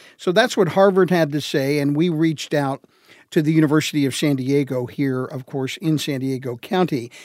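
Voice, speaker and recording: An ordinary speaking voice from a man, fairly high in pitch, at a moderate pace with ordinary pitch variation, on a very clean recording with a silent background. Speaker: education reporter. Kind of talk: radio news reporting.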